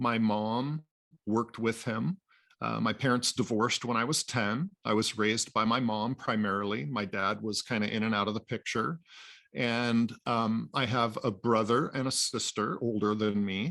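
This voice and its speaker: A man with an American accent talks at a moderate pace and medium pitch, his tone bright and sharp. His loudness stays very even, with ordinary pitch variation, on a very clean recording with a silent background. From US Pacific Northwest (Anacortes, Washington). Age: 60s. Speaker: boat builder, father of a cancer patient. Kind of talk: interview testimony. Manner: halting, many fillers.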